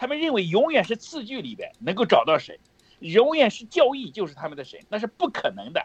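A man with a Shandong-Henan accent, extremely high in pitch, animated and fairly quick, with very wide pitch swings and big jumps in loudness. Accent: Shandong-Henan border Mandarin. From Heze, Shandong, near the Henan border. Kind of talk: preaching-style religious sharing.

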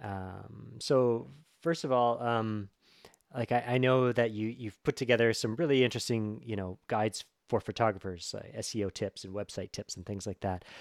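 A plain, everyday voice with a dry, close sound and no echo moves at a moderate pace, with ordinary pitch variation and big swings in loudness. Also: man, medium pitch for a man. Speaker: podcast host. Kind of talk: interview with ad reads.

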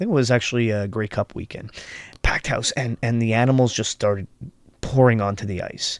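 A man with an ordinary speaking voice, medium in pitch, at a fairly quick pace on a very clean recording with a silent background. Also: fairly even intonation, dry, close sound with no echo. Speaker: podcast host. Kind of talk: podcast interview chat.

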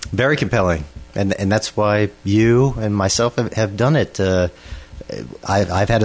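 With an American accent and a fairly low pitch, a man speaks over noticeable background noise. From Pittsburgh, Pennsylvania. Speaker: solar industry professional. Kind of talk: radio interview.

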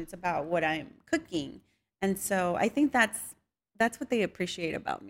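In a very clean recording with a silent background, the speaker talks at a moderate pace with a Spanish accent. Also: woman. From Mexican-American, US. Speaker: home cook and social media creator. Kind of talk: casual interview.

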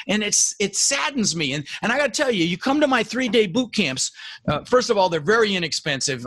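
Sounding animated, a man speaks with very wide pitch swings. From Netherlands, raised in Denver, Colorado. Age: 60s. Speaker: real estate investor and coach. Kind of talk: interview.

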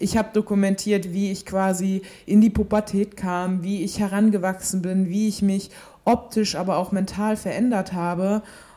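Speaking at a moderate pace and medium pitch, a woman has a dark, mellow tone and flat, monotone intonation. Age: 20s. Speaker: fitness podcast host, sports science student. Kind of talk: solo podcast monologue. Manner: casual with frequent filler sounds.

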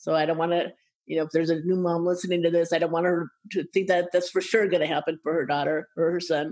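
Here is an ordinary speaking voice from a woman with a fairly low pitch. She goes at a fairly quick pace with fairly even intonation. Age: 60s. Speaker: patient advocacy nonprofit director. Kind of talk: interview.

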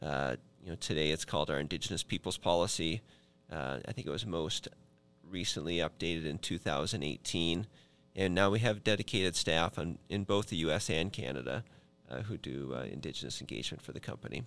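A man speaks with a very deep, low pitch, vocal fry and lively intonation on a very clean recording with a silent background. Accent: Upper Midwest. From Minnesota. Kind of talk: podcast interview. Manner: hesitant, many fillers.

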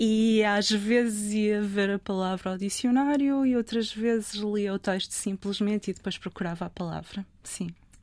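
A woman's plain, everyday voice at a medium pitch, fairly even intonation, moderate pace and hardly any pauses, on a very clean recording with a silent background. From northern Portugal, Trofa. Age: 50s. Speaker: literary translator. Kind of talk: interview conversation.

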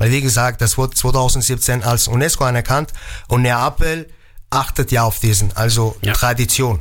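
A plain, everyday voice moves at a moderate pace with ordinary pitch variation. Its loudness stays very even. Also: man, medium pitch for a man. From Germany, Mainz. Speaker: pizza chef. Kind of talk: radio interview.

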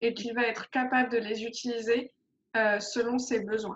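A woman with a fairly high pitch uses an ordinary speaking voice and fairly even intonation. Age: 30s. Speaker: life coach. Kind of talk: interview.

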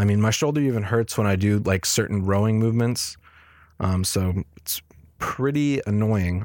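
At a moderate pace, a man speaks in a fairly low pitch. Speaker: podcast host. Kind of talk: solo podcast update, casual. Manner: monotone; casual, filler-heavy.

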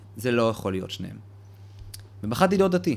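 A man's voice at medium pitch. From Israel, Petah Tikva. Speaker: cultural venue founder and manager. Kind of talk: casual interview. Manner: animated.

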